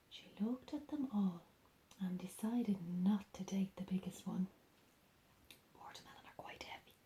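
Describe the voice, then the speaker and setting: Soft-spoken and somewhat breathy, a woman whispers at a moderate pace. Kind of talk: ASMR bedtime storybook reading. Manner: soft-spoken, whispering.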